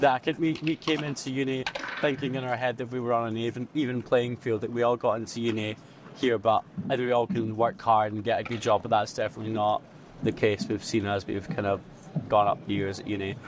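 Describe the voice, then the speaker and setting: Very fast and at a medium pitch, a man with a Scottish accent talks with ordinary pitch variation. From Scotland. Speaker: university student, society co-founder. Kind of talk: interview.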